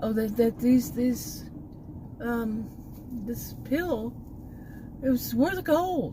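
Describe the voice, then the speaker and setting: Fairly slowly, a woman with a Texan accent speaks at high pitch with very wide pitch swings. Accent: Texan, remarked as terrible by herself. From Texas. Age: 60s. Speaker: vlogger. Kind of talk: casual vlog monologue. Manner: rambling, halting with many fillers.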